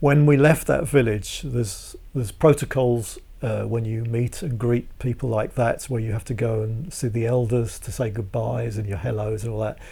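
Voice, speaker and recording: A man at medium pitch has a dark, mellow tone and is somewhat breathy. He talks at a moderate pace with hardly any pauses and ordinary pitch variation. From southeast England (Hertfordshire, Walthamstow). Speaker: percussionist and world musician. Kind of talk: casual interview chat. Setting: at a home.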